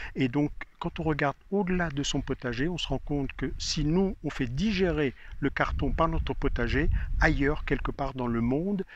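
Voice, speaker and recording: At a moderate pace, a man talks in a normal speaking voice that sits fairly high, with ordinary pitch variation and a quiet background. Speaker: gardening expert. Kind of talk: casual interview.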